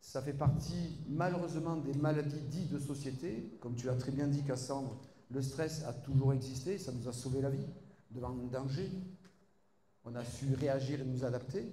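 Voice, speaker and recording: With a slight Marseille accent, a man talks at a fairly slow pace and fairly high pitch, his intonation fairly even. Noticeable background noise and audible room echo fill the recording. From southern France, Marseille. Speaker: doctor and university lecturer. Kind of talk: conference talk.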